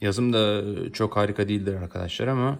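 On a very clean recording with a silent background, a man keeps a moderate pace. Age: 20s. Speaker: freelance translator reviewing products on video. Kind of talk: product review video. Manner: casual, hesitant with fillers.

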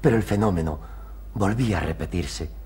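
A man speaks in a theatrical tone with vocal fry. Light background noise sits behind him. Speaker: patient character; actor playing a character. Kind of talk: period TV stage play, dramatic; theatrical monologue in a TV play. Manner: emotional, earnest, theatrical, pleading. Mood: wistful, romantic recollection. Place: studio.

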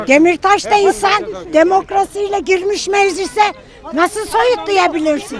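Crowd noise fills the background. Over it, a woman talks at an extremely high pitch. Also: ordinary pitch variation, fairly slow pace. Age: old. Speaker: pensioner, widow. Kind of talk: street interview answer. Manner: outspoken, bold.

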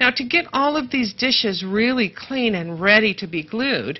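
A woman with a normal speaking voice talks at a fairly slow pace in a fairly high pitch. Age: 50s. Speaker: craft show co-host. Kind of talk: craft tutorial. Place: studio. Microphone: lapel.

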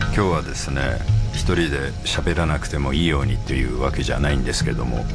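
Someone speaks at a fairly quick pace while clear music plays in the background. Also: man. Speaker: radio host. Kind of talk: radio talk show. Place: studio.

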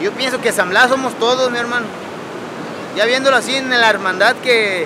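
A man uses a raised, projected voice. The sound is dry with no echo, but loud background noise is present. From Mexico, San Blas, Nayarit; Nayarit, Mexico. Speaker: fisherman. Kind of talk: interview. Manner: animated. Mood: earnest, passionate, slangy. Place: beach.

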